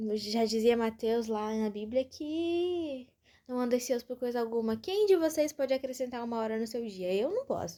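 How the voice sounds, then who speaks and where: Recorded very cleanly against silence, a woman with a Brazilian accent has a high voice with a dark, mellow tone. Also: lively intonation, moderate pace. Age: 20s. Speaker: podcaster. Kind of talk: casual monologue. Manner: informal, chatty.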